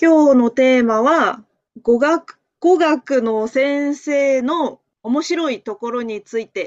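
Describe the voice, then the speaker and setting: A woman with a high pitch talks at a fairly slow pace with ordinary pitch variation, the sound dry and close with no echo. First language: Japanese (speaking Chinese). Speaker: language teacher. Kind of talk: casual chat.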